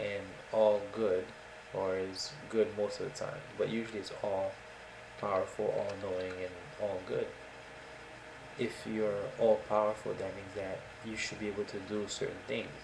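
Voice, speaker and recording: A soft-spoken man talks at a fairly slow pace amid noticeable background noise and audible room echo. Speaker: atheist video blogger. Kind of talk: casual monologue. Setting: home recording in a dark room. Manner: hesitant.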